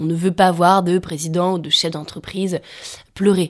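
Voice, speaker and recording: Her pitch fairly low, a woman speaks at a moderate pace in a monotone, flat intonation. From France, Savoie. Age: 20s. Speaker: climate activist. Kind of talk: interview. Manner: halting.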